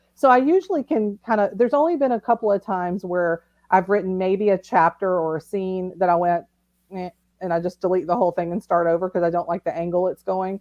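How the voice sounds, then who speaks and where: This woman talks with a Southern accent. She speaks at a very fast pace. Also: medium pitch for a woman, ordinary pitch variation, dry, close sound with no echo. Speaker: novelist. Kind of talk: casual interview. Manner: animated.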